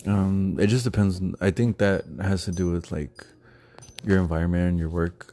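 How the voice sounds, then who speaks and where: A man speaks with a very deep, low voice at a moderate pace. His intonation stays fairly even. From Texas. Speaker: podcast co-host. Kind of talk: casual chat.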